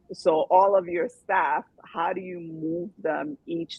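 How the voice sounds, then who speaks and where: A woman with an ordinary speaking voice, medium pitch and lively intonation. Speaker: podcast host. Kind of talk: podcast host talk. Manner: upbeat.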